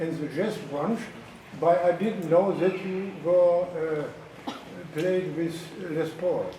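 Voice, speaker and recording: Speaking very slowly in a German accent, a man with a high pitch and fairly even intonation is heard with audible room echo and noticeable background noise. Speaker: audience member. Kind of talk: casual chat. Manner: halting.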